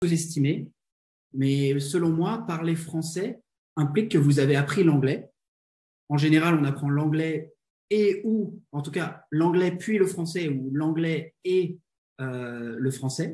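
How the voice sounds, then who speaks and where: The voice has a dark, mellow tone and ordinary pitch variation. It moves at a very slow pace with long, frequent pauses. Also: man, fairly high pitch for a man. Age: 20s. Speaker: business consultant and coach. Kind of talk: interview. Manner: hesitant, frequent fillers and repetitions.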